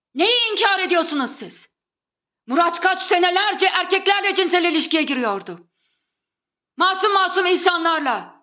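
A woman with an extremely high pitch talks in a raised, projected voice, her tone bright and sharp, keeping a moderate pace and ordinary pitch variation. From Turkey. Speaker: video blogger. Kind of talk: monologue.

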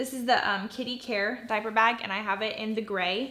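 Her intonation monotone and flat, a woman talks at a fairly quick pace. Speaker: mom vlogger. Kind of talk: casual vlog chat. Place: home room.

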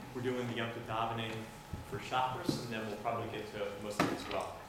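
Over loud background noise and audible room echo, a man is talking. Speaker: prayer leading instructor. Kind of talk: lecture. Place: church. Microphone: camera far.

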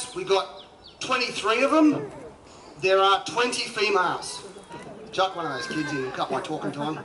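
A man's fairly quick speech with ordinary pitch variation over light background noise. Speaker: presenter. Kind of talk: live show commentary. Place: waterside. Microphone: pa.

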